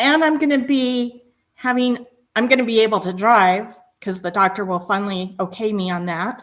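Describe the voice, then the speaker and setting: At a moderate pace, a woman talks in an ordinary speaking voice that is fairly high, with ordinary pitch variation. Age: 50s. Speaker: aspiring baker. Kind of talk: casual chat.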